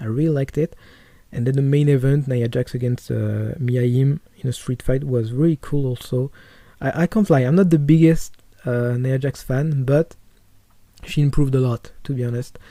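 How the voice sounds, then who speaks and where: Speaking with a strong French accent, a man keeps a moderate pace and fairly even intonation in a dark, mellow tone. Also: medium pitch for a man, very clean recording, silent background. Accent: French accent, self-described as strong. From France. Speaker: wrestling podcaster. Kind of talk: casual podcast monologue. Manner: halting, many fillers and repetitions.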